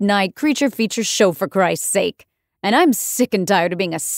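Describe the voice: Plain reading aloud is set against a quiet background.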